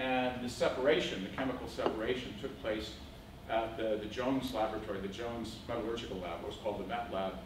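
A man talking at a very fast pace with ordinary pitch variation, amid audible room echo and noticeable background noise. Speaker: lecturer. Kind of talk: lecture. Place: classroom. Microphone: camera far.

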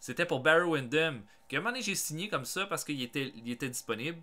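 A man with a Quebec accent speaks in a bright, sharp tone at a moderate pace. The recording is very clean, with a silent background. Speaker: gaming YouTuber. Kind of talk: casual vlog monologue. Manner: hesitant, many fillers.

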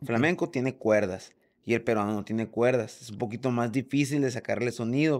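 With the background quiet, a man moves through his words at a moderate pace. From Mexico, Sonora (Hermosillo); Sonora. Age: 40s. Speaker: drummer; podcast guest. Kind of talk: casual chat. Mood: relaxed, casual. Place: home room. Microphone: studio mic.

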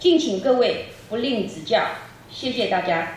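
Light background noise sits under the voice, and the room echo is audible. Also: woman. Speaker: event host. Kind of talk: press conference emcee speech. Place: hall.

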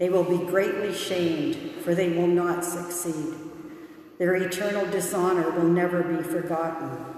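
The delivery is monotone and flat at a fairly slow pace. Strong room echo fills the recording. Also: woman. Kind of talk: scripture reading. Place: church.

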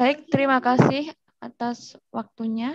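A woman with fairly even intonation, a dry sound with no echo, and a quiet background. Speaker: student moderator. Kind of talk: webinar moderation. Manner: formal.

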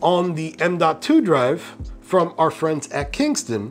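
Faint music plays in the background. Over it, a man speaks at a fairly slow pace. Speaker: PC tech YouTuber. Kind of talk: tech tutorial talk to camera. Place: studio.

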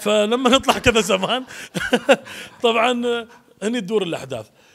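A man is speaking. His pace is very fast. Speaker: actor promoting a play. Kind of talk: interview answer. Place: hall. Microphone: handheld.

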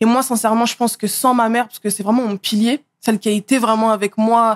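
Against a quiet background, a woman speaks at a fairly quick pace with a fairly high pitch and monotone, flat intonation. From Paris region (Seine-Saint-Denis), France; Paris region, France. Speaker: model and influencer; podcast guest. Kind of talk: casual interview; interview answer. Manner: hesitant, many fillers. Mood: calm, reflective. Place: studio. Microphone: studio mic.

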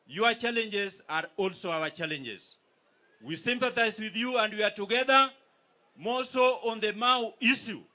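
Raising and projecting his voice, a man with a Kenyan accent speaks at a fairly slow pace in an extremely high pitch, with a bright, sharp tone and ordinary pitch variation. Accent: Kenyan (Luo) English. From Kenya, Migori. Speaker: politician, county governor; politician. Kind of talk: political speech at a rally. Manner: formal. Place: stage. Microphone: handheld.

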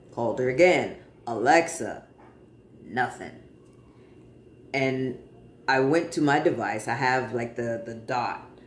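A man at a medium pitch with ordinary pitch variation, speaking at a fairly slow pace with long, frequent pauses amid audible room echo. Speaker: vlogger sharing transition update. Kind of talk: casual personal vlog. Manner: conversational, with fillers. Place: home room. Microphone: phone near.

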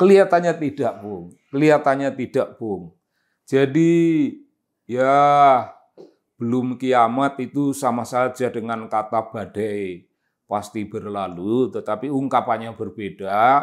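In a quiet background, a man speaks at a very slow pace with lively intonation. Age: 70s. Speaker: political commentator. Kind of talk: monologue commentary. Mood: calm, reflective. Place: office.

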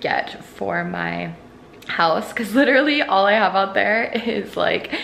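Over faint background noise, a woman speaks at a fairly slow pace in a medium pitch with a fairly bright tone, lively intonation and vocal fry.

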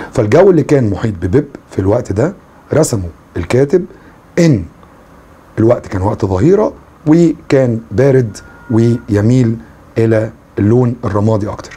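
A man with an Egyptian accent uses lively intonation and leaves long, frequent pauses. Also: moderate pace. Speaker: English teacher. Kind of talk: lecture. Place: home room.

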